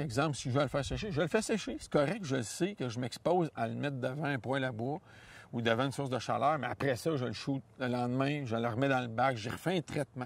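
The speaker has a Quebec accent. The pace is moderate. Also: man, dry sound with no echo. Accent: Québécois French. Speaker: hunting guide and outdoor columnist; hunting guide. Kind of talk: interview. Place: forest. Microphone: lapel.

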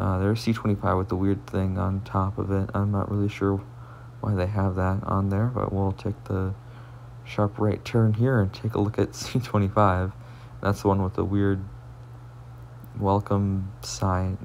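Light background noise sits behind a man's voice. He talks at a moderate pace with long, frequent pauses. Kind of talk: casual vlog commentary. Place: bus. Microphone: phone near.

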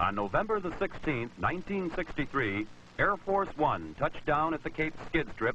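A man's fairly high, bright, sharp voice shows vocal fry and very wide pitch swings. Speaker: newsreel narrator. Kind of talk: 1960s newsreel narration. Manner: formal, brisk, authoritative; measured, dramatic delivery.

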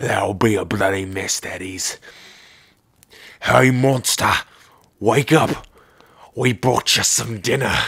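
With long, frequent pauses, a man speaks at a medium pitch. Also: fairly slow pace. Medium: audio drama. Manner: mocking, gleeful, cruel.

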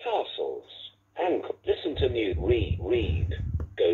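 The clip features an unforced reading voice. It is the only trait to note.

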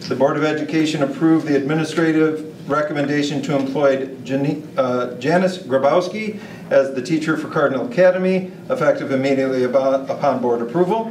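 The voice moves at a fairly quick pace with ordinary pitch variation, audible room echo, and light background noise. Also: man. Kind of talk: formal reading of meeting agenda items. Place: meeting room.

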